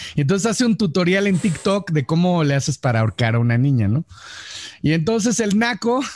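A man with a Mexican accent speaks fairly quickly in a high pitch, with very wide pitch swings and very even loudness, in a dry, close sound with no echo. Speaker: podcast host. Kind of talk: casual chat.

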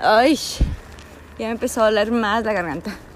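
At a fairly slow pace, a woman speaks with fairly high pitch and ordinary pitch variation. Background noise is noticeable. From US–Mexico border region. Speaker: travel vlogger on pilgrimage. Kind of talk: vlog monologue. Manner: halting, many fillers.

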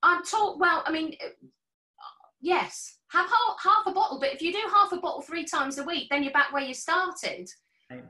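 Raising and projecting her voice, a woman speaks at a moderate pace with a bright, sharp tone, an extremely high pitch, and lively intonation. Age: 50s. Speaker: health and fitness professional. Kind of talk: casual chat.

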